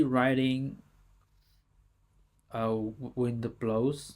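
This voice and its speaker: Someone with a Chinese accent speaks at a very slow pace on a very clean recording with a silent background. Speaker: language teacher. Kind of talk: tutorial. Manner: halting.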